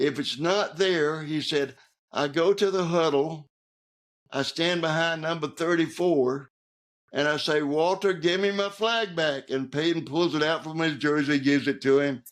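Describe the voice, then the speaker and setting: Against a quiet background, a man with a Southern US accent speaks at a moderate pace, fairly high in pitch with ordinary pitch variation. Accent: Southern American. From Georgia, USA. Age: 80s+. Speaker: author, Navy veteran. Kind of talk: interview answer, storytelling. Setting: home studio.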